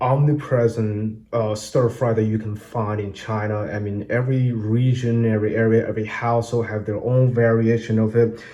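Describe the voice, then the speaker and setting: A man's medium-pitched voice with a dark, mellow tone runs with fairly even intonation and hardly any pauses. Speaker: home cook. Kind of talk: cooking tutorial to camera. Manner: hesitant, many filler words.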